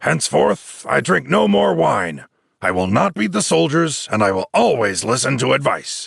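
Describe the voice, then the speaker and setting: Putting on a raspy character voice, a man speaks with a fairly low pitch, very wide pitch swings, very even loudness and a moderate pace. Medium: read story. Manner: blunt, forceful.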